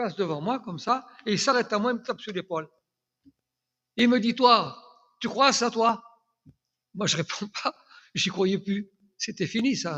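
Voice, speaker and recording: Raising and projecting his voice, a man with a high pitch and a bright, sharp tone speaks at a fairly slow pace with long, frequent pauses. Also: ordinary pitch variation. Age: 80s+. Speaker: church elder giving testimony. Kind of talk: testimony. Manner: halting, repeats words.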